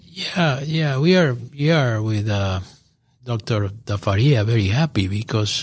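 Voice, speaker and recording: A man with a non-native accent, medium in pitch, with ordinary pitch variation. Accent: foreign accent, from overseas. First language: not English. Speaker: business professor. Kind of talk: radio interview. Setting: radio studio.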